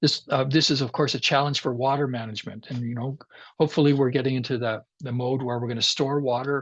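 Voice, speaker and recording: Speaking at a fairly quick pace, a man with a Canadian Prairie accent sounds somewhat breathy. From Canadian Prairies, Regina, Saskatchewan. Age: 60s. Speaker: climate scientist. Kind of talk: lecture.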